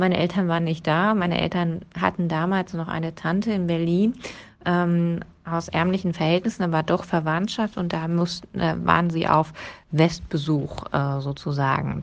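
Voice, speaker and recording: An unremarkable speaking voice with fairly even intonation at a moderate pace. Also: woman, fairly low pitch for a woman. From eastern Germany, Brandenburg (Premnitz). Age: 30s. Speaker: trade union secretary. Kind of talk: personal account.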